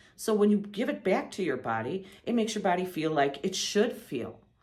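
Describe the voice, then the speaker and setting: With audible room echo, a woman talks at a moderate pace. Her medium-pitched voice has very wide pitch swings. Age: 60s. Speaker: patient giving testimonial. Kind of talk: testimony. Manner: halting, with false starts.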